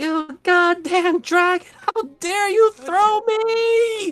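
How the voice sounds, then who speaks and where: A put-on character voice at an extremely high pitch and very slow pace, with faint music in the background. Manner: indignant, angry.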